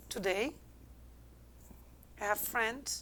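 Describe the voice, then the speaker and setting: A woman speaks at a very slow pace. Her voice sits fairly high. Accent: Algerian. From Algeria. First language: not English. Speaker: business consultant. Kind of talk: interview answer.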